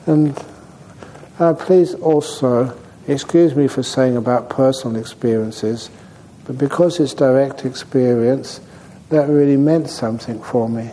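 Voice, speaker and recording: A man of medium pitch speaks at a fairly slow pace with ordinary pitch variation, over noticeable background noise. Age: 70s. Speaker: meditation teacher. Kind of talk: dharma talk at a retreat. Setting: meditation retreat center.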